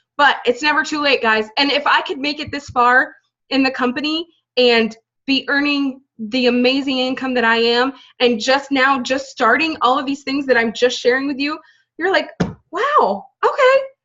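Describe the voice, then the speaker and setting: A woman with a high pitch uses a raised, projected voice and a bright, sharp tone, talking at a moderate pace with ordinary pitch variation. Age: 30s. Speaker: direct sales team leader. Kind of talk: motivational team talk. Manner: casual, animated.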